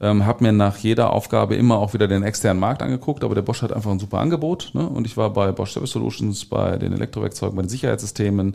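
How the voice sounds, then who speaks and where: Racing along at a very fast pace with hardly any pauses, a man with a fairly low voice shows vocal fry, a dark, mellow tone and ordinary pitch variation. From Ruhr area, Germany (Gelsenkirchen). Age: 40s. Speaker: corporate-startup innovation consultant. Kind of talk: podcast interview.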